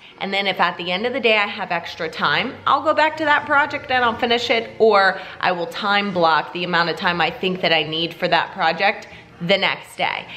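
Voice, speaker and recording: A woman speaks at medium pitch with an animated tone and very wide pitch swings. Noticeable background noise runs underneath. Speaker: fitness vlogger and bikini competitor. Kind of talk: vlog monologue. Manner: fast.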